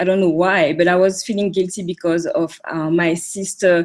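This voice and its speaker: In a French accent, a woman speaks at a medium pitch on a very clean recording with a silent background. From French Caribbean island. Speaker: coaching client. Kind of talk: interview testimony. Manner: halting, many fillers.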